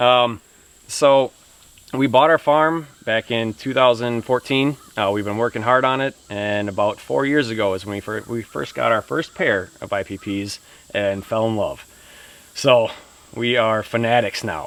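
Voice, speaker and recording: Speaking at a fairly slow pace with a Wisconsin accent, this man has a medium pitch and ordinary pitch variation. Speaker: pig farmer. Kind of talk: casual interview chat.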